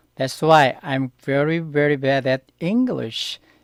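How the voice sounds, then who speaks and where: In a very clean recording with a silent background, a man with a Korean accent speaks at a fairly high pitch, the sound dry and close with no echo. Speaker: Korean language teacher. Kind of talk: tutorial. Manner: halting.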